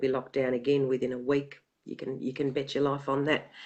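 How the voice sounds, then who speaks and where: A woman's very deep, low voice with an Australian accent at a fairly quick pace. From Australia, western Sydney. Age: 50s. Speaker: activist researcher. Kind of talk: interview.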